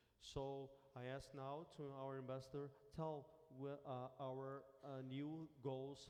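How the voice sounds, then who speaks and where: A man with a non-native accent speaks at a very slow pace in a medium pitch, his dark, mellow tone delivered with monotone, flat intonation and audible room echo. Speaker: government minister. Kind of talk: official speech. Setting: conference meeting. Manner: halting, with repetitions.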